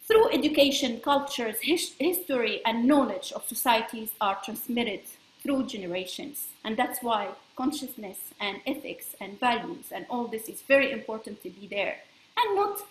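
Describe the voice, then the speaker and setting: Very wide pitch swings and big swings in loudness in a French accent, over noticeable background noise. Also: woman. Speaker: space law expert. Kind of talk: presentation. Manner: halting.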